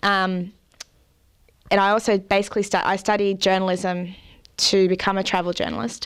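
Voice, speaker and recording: A woman with an Australian accent speaks in a medium pitch at a moderate pace, with fairly even intonation, very even loudness and long, frequent pauses. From Australia, Central Coast NSW. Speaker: artist and traveller. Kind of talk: interview.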